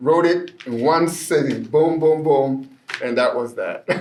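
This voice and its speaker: A man with a fairly high pitch speaks in a Spanish accent. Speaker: poet. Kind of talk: poetry reading with commentary. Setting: library.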